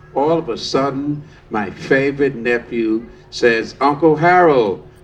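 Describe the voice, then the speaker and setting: A man with an American accent, very wide pitch swings and audible room echo. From New York City. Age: 70s. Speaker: storytelling workshop participant. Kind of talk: personal storytelling performance. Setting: outdoor park stage with audience.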